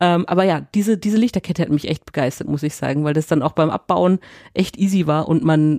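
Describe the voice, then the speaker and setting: Speaking at a fairly quick pace, a woman has a fairly low pitch and a dark, mellow tone with ordinary pitch variation, heard in a dry, close sound with no echo. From Nuremberg, Franconia. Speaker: podcast co-host. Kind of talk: casual chat.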